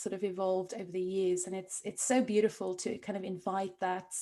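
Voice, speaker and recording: In a South African accent, a woman speaks at a very fast pace. Her intonation stays fairly even. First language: Afrikaans. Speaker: podcast host, coach. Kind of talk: interview.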